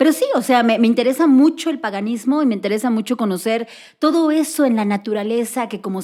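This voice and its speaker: A woman with a central Mexican accent, fairly high in pitch, at a fairly quick pace with lively intonation. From central Mexico, Cuernavaca, Morelos. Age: 40s. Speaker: teacher and activist. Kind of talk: casual interview.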